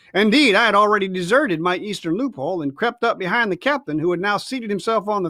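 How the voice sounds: What comes through is a natural reading voice.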